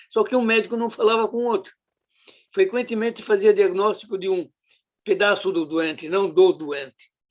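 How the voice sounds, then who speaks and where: The speaker talks at a moderate pace. Pitch varies in an ordinary way. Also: man, high pitch for a man. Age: 80s+. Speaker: retired surgeon and professor. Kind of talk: interview. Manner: halting, with fillers.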